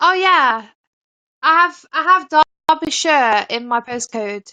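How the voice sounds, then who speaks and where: In a dry, close sound with no echo, a woman with a high pitch and a bright, sharp tone uses a raised, projected voice and lively intonation at a very slow pace. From England, Nottingham area. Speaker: caller on live stream. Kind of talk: casual chat.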